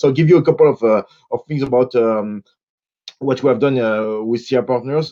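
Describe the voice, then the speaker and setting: A man with a strong French accent talks fairly quickly in a medium pitch with a dark, mellow tone against a quiet background. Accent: French, self-described as strong. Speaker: consultant, panelist. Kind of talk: conference panel presentation. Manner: halting, many fillers.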